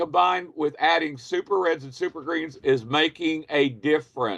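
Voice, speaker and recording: In a dry, close recording with no echo, a man with a normal speaking voice and a fairly high pitch talks at a fairly slow pace. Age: 60s. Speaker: business and marketing trainer. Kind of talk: online training session, sharing a product testimonial. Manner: conversational, repeating questions to the audience.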